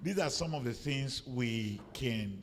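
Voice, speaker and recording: This man's voice sits at a medium pitch and is somewhat breathy, with lively intonation. Audible room echo surrounds it. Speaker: professor. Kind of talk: panel discussion. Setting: conference with audience.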